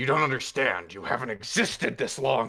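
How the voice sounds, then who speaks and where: Delivered at a moderate pace, this put-on character voice sounds raspy. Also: man. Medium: actual play. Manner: commanding, gruff.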